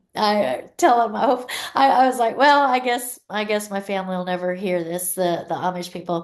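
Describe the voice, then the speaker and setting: A woman with a Pennsylvania accent, lively in intonation and with hardly any pauses. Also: medium pitch for a woman, moderate pace. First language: Pennsylvania Dutch. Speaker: luxury real estate agent. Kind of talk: podcast interview answer.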